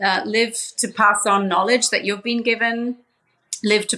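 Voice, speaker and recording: A woman with an Australian accent speaks at a fairly high pitch. Her tone is bright and sharp, her pace fairly slow. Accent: Aussie twang. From Papua New Guinea. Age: 40s. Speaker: social entrepreneur. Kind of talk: interview conversation.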